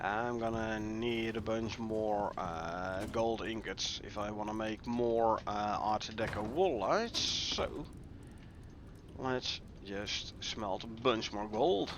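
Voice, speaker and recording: Audible room echo surrounds a man with a Dutch accent who speaks at a very slow pace with fairly even intonation. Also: medium pitch for a man. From Netherlands. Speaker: gaming streamer. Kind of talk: live gameplay commentary. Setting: live stream. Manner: casual, thinking aloud with fillers.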